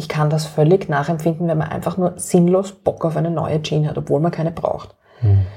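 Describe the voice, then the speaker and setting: With a Viennese accent, a woman talks in a somewhat breathy voice. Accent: Viennese Austrian German. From Austria, Vienna. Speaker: activist and author. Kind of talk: interview.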